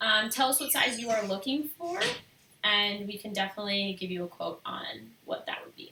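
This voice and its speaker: Soft-spoken yet with big swings in loudness, a woman talks at a fairly quick pace with lively intonation and a fairly high pitch, amid noticeable background noise. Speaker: photographer and artist. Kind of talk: live stream Q&A. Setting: live stream video.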